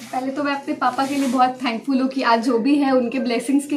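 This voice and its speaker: The woman's voice is high in pitch. She keeps a monotone, flat intonation throughout. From Bihar, Buxar. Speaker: civil services exam topper. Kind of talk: interview.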